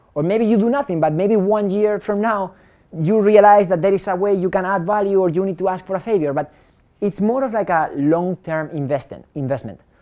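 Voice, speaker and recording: A dark, mellow tone carries ordinary pitch variation. The speaker moves at a fairly quick pace. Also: man, high pitch for a man. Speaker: startup founder and speaker. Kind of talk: talk at a meetup.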